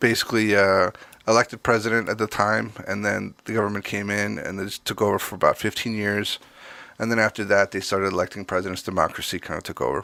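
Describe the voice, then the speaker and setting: In a very fast pace, a man with a fairly low pitch and a bright, sharp tone speaks in a monotone, flat intonation, recorded very clean with a silent background and a dry, close sound with no echo. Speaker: drummer and podcast co-host. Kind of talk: casual chat. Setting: podcast recording. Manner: slightly slurred speech.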